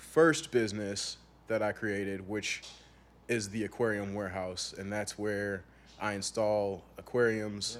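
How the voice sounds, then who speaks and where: A man with a Chicago-area accent speaks very slowly in a fairly low voice. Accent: Chicago-area American English. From US Midwest. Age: 20s. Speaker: aquarium entrepreneur and youth mentor. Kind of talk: casual interview conversation.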